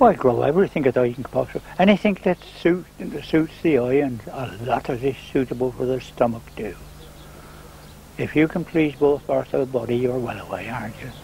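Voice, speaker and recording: With noticeable background noise present, this man speaks at a medium pitch with ordinary pitch variation and a fairly quick pace. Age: 70s. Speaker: gardener and beekeeper. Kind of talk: interview.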